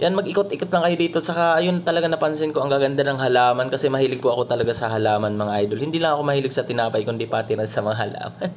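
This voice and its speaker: Over noticeable background noise, a man with a fairly high pitch races along at a very fast pace with lively intonation and hardly any pauses. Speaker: travel vlogger. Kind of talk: vlog voice-over. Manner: casual, halting with fillers.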